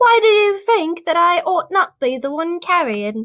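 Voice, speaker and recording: Using a squeaky, put-on character voice with an English accent, a woman speaks at an extremely high pitch with very wide pitch swings at a moderate pace. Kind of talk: posh, old-fashioned.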